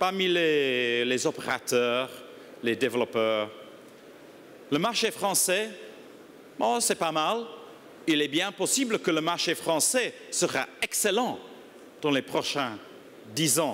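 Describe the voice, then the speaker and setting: A man with a strong non-native accent speaks at a very slow pace with long, frequent pauses. His pitch is fairly high and swings very widely. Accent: strong foreign accent in French. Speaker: industry association executive. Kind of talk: conference speech. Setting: conference stage with audience. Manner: halting, many hesitations.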